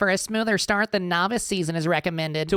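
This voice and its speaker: At a middle pitch, a put-on character voice rattles along at a very fast pace. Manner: nasal, pedantic.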